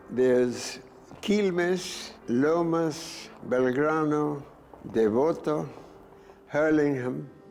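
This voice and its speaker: A man with an Argentine accent and a fairly high pitch, speaking at a very slow pace with long, frequent pauses, amid noticeable background noise and audible room echo. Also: ordinary pitch variation. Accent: Anglo-Argentine English. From Argentina, Anglo-Argentine community of Buenos Aires. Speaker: war veteran. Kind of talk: interview testimony.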